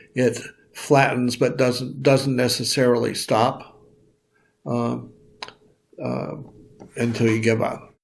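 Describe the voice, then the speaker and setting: A man's medium-pitched, monotone, flat delivery at a very slow pace, full of long, frequent pauses, with audible room echo. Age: 70s. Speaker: retired lawyer, elder. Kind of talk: interview reflection. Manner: halting, many fillers.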